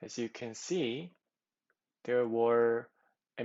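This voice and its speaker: Speaking at a very slow pace, a man with a non-native accent uses a medium pitch. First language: not English. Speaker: competitive programming tutor. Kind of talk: tutorial. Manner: halting, many fillers.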